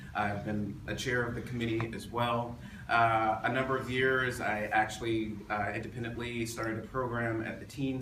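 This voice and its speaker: A man with an American accent speaks at a moderate pace with fairly even intonation, with noticeable background noise and audible room echo. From Florida, US South. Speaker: city council candidate. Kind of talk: candidate forum opening statement.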